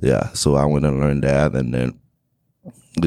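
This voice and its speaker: A man with a Haitian accent speaks in a very deep, low pitch. His intonation stays fairly even. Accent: Haitian Creole-accented English. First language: Haitian Creole. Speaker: real estate investor. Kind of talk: interview.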